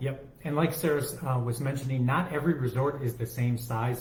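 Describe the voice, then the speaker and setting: A man mumbles at a fairly quick pace. His voice sits at a medium pitch. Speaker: travel agent podcast co-host. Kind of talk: casual chat. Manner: mumbling; speaking louder than usual.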